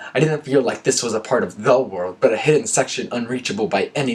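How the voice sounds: The speaker uses a natural reading voice. The delivery stays in that natural reading manner.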